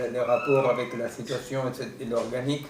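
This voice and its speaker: A medium-pitched man's voice with a non-native accent and monotone, flat intonation, amid audible room echo and noticeable background noise. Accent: foreign accent in French. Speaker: seminar speaker, philosopher. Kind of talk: lecture. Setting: seminar room with audience and Zoom. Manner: halting, many hesitations.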